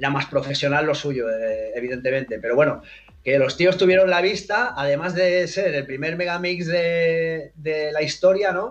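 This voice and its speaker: A man talks at a moderate pace with ordinary pitch variation. It is a normal speaking voice. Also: fairly high pitch for a man. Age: 50s. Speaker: DJ. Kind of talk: interview.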